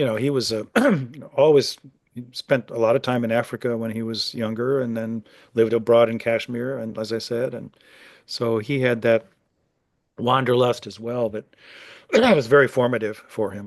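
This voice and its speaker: With a Midwestern American accent, a man at medium pitch speaks in a monotone, flat intonation at a moderate pace, pausing long and often against a quiet background. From US Midwest. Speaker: author. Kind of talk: interview. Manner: halting, many fillers and repetitions.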